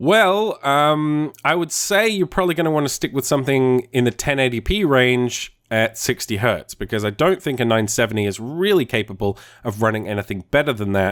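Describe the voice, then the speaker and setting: Very wide pitch swings mark this man's medium-pitched voice at a fairly quick pace. The recording is very clean, with a silent background. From northern England. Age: 30s. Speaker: gaming YouTuber. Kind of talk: Q&A answering viewer questions. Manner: casual, conversational.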